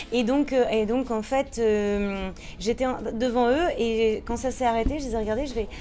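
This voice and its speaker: Over music in the background, the speech comes at a fairly slow pace with fairly even intonation and audible room echo. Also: woman, fairly high pitch for a woman. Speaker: musical theatre performer. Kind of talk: casual interview.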